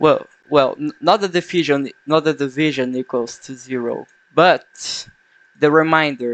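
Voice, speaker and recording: A man with a non-native accent, fairly high pitch and ordinary pitch variation, fairly slow, with big swings in loudness. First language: not English. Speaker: game developer vlogger. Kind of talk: unscripted coding vlog. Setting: at home at night. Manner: halting, self-correcting.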